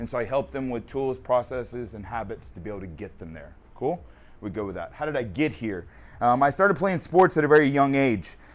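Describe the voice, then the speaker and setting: A man at medium pitch with very wide pitch swings, big swings in loudness, vocal fry and a fairly quick pace. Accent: American. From Texas, North Dallas. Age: 30s. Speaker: performance coach. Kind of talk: casual Q&A with a team. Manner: casual, joking.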